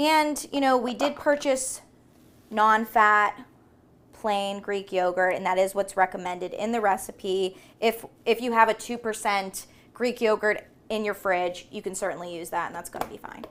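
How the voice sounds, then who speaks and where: Very cleanly recorded over a silent background, a woman with an ordinary speaking voice talks at a moderate pace and fairly high pitch, with ordinary pitch variation and big swings in loudness. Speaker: cooking show co-host, dietitian-type expert. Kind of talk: cooking demonstration.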